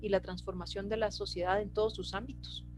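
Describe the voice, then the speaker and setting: A woman's speech carries audible room echo, with music in the background. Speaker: presenter of citizen participation workshop. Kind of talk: lecture. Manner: hesitant, many fillers.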